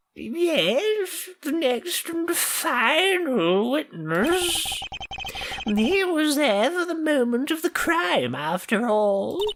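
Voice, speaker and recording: A man's put-on character voice, extremely high-pitched, at a very slow pace. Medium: game stream.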